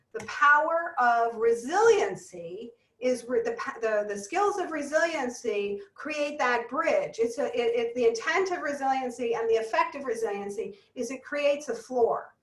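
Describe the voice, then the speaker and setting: A high-pitched woman's voice with lively intonation and hardly any pauses. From US East Coast. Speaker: business psychologist speaker. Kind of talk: webinar presentation. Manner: fast.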